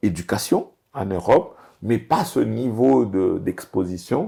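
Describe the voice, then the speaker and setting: The voice has a dark, mellow tone with vocal fry. It moves at a very slow pace with lively intonation. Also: man. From DR Congo. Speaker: business executive. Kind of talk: interview. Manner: hesitant, many fillers.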